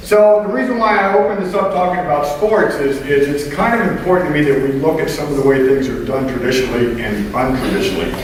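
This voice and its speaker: Over noticeable background noise, a man with a fairly high pitch talks very fast with lively intonation and hardly any pauses. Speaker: keynote speaker. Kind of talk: live keynote talk to audience. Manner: loud, humorous.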